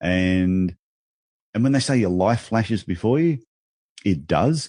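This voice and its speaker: With an Australian accent and ordinary pitch variation, a man speaks against a quiet background. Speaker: business speaker and author. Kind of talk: podcast interview. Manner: animated.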